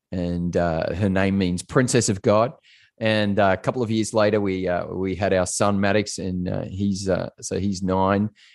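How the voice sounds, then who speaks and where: A man speaks at a moderate pace with an Australian accent, his fairly low pitch carrying fairly even intonation against a quiet background. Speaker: pastor and corporate coach. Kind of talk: casual interview. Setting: remote call.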